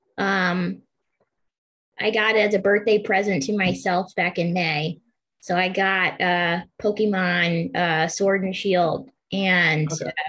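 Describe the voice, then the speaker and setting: A woman with an American accent, medium pitch, fairly even intonation and a very slow pace. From Pennsylvania. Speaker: podcast host. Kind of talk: interview.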